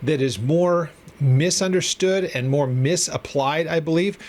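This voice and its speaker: Here a man speaks in a normal speaking voice with a fairly high pitch. His pace is moderate and his pitch variation ordinary. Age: 50s. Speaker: Bible teacher. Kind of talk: lecture. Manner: casual, with many fillers and repetitions.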